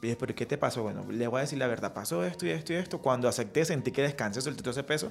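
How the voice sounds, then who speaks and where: The speech races along at a very fast pace with hardly any pauses. The intonation is lively, and there is vocal fry. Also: man, medium pitch for a man. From Colombian Caribbean coast, Riohacha, La Guajira. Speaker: entrepreneurship lecturer. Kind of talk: radio interview. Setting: radio studio.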